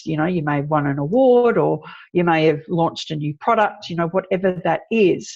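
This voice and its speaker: Against a quiet background, a woman with an Australian accent talks at a moderate pace with a fairly low pitch. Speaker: PR expert. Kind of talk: interview.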